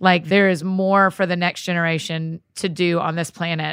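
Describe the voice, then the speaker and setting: A woman with a Southern US accent on a very clean recording with a silent background. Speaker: podcast host. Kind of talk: interview. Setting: studio. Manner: animated.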